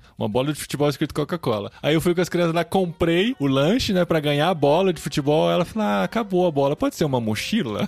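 At a very fast pace and with hardly any pauses, a man with a Brazilian accent and fairly high pitch speaks with lively intonation and very even loudness. Music plays in the background, and the sound is dry and close with no echo. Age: 40s. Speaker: podcast host. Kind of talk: casual chat.

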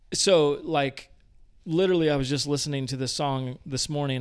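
A man speaks at a moderate pace. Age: 40s. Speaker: pastor. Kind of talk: interview.

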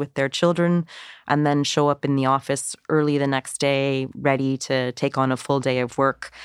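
A Canadian accent at a moderate pace, in a very clean recording with a silent background and a dry, close sound with no echo. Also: woman. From Canada. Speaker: UN refugee agency official. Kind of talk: podcast interview.

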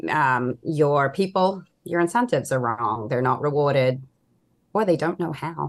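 A woman speaks at a moderate pace with a very deep, low pitch and lively intonation against a quiet background. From Australia. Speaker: consultant. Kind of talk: casual interview chat.

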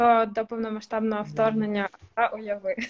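At a moderate pace, a woman with a fairly high pitch speaks in a flat, monotone way. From Ukraine, Kherson. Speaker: communications strategist. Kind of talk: casual chat. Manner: hesitant with fillers.

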